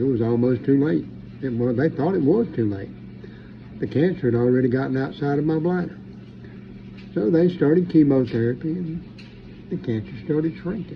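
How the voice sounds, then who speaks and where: The voice is somewhat breathy, with lively intonation. Long pauses come often. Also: man, medium pitch for a man, moderate pace. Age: 60s. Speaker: preacher. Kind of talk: monologue commentary. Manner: animated.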